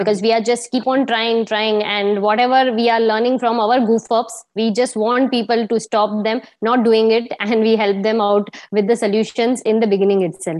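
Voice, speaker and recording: A woman's fairly high voice with an Indian accent, moderate in pace, monotone and flat in intonation, with very even loudness and hardly any pauses. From India (Gujarat). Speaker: sales and marketing professional. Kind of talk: casual interview. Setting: video call.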